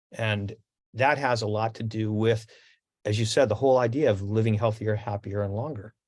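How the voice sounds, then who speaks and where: Over a quiet background, a man speaks at a moderate pace with a somewhat breathy voice, a medium pitch and fairly even intonation. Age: 70s. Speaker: radio host. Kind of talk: interview. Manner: halting.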